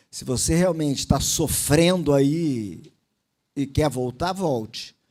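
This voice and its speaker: Speaking at a very slow pace, a man uses a fairly high pitch and a dark, mellow tone. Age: 60s. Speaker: motivational speaker, former naval officer. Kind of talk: motivational talk. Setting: stage with audience.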